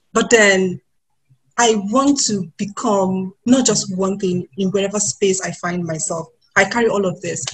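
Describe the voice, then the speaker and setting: A woman speaks with a Nigerian accent. Her pace is fairly slow and her pitch variation ordinary. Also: medium pitch for a woman. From Nigeria, Kano State. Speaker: writer, panellist. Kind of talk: webinar panel discussion.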